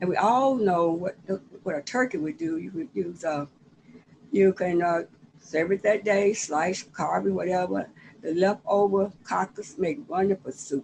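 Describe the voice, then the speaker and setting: A woman at medium pitch and a fairly slow pace, lively intonation, in a Southern US accent. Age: 70s. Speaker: author. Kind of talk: casual chat. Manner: halting.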